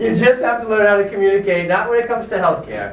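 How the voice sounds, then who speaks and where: Amid noticeable background noise and audible room echo, a man talks at a very fast pace. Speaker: chiropractor and seminar speaker. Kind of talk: lecture. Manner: animated.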